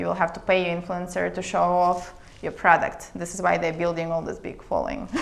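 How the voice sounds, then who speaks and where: A woman talking at a fairly quick clip, with noticeable background noise and audible room echo. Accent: Russian. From Siberia, Russia. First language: Russian. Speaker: international attorney, startup consultant. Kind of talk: casual interview.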